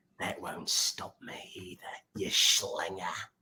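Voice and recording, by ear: A man's raspy, put-on character voice in an Australian accent, at a fairly slow pace.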